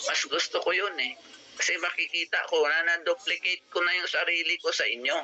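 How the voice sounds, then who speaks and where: A man at a moderate pace with very even loudness, music in the background. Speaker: business opportunity presenter. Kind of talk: sales pitch. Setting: video call. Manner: animated.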